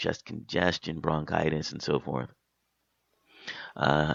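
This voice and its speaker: A man is speaking. His voice is very deep and low. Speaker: talk radio host. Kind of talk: radio monologue. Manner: hesitant, with fillers.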